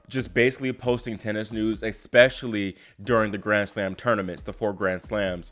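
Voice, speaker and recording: At a moderate pace and with fairly even intonation, an unremarkable speaking voice carries an American accent. The background is silent and the recording very clean. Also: man, fairly low pitch for a man. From Virginia, US. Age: 20s. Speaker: tennis YouTuber, college student. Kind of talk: casual vlog talk to camera.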